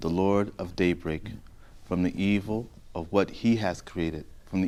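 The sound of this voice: Here we hear an unforced reading voice.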